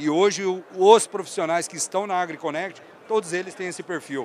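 With noticeable background noise, a man speaks at a moderate pace using fairly even intonation. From Brazil, northern Paraná (Londrina). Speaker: agronomist and sales director. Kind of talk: casual interview. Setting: trade fair stand.

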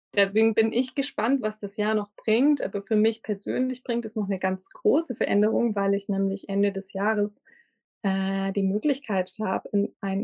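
This woman talks at a moderate pace in a medium pitch with ordinary pitch variation, her tone dark and mellow, and the sound is dry and close with no echo. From Lindau, Lake Constance, Bavaria. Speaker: harpist. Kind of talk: interview.

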